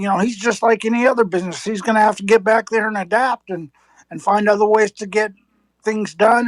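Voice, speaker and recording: A woman has an unremarkable speaking voice, fairly high in pitch with fairly even intonation, recorded dry and close with no echo. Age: 60s. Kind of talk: heated debate.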